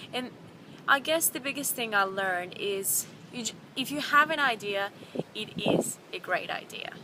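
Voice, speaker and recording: A woman's fairly high voice at a moderate pace. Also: lively intonation. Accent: non-native. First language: not English. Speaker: vlogger. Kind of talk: casual vlog. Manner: halting, many fillers and repeats.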